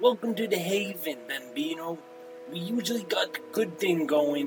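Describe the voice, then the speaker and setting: A gruff, put-on character voice at a moderate pace over clear background music. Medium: solo performance. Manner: tough-talking, gruff.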